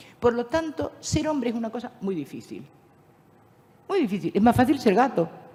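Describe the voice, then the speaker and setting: Noticeable background noise sits behind this woman. She speaks in a fairly high pitch with an animated tone. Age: 70s. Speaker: philosopher and speaker on spirituality. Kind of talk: lecture.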